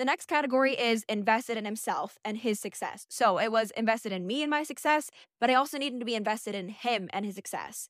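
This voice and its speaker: On a very clean recording with a silent background, a woman talks at a very fast pace. Her pitch is fairly high, with ordinary pitch variation. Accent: American. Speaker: podcast host. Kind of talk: casual solo monologue. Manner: loud; animated.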